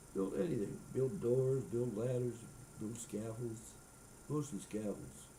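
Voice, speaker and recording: A man speaks in a somewhat breathy voice with ordinary pitch variation. Long, frequent pauses stand out, and audible room echo surrounds him. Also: medium pitch for a man, fairly slow pace. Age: 80s+. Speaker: retired carpenter, grandfather. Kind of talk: casual chat.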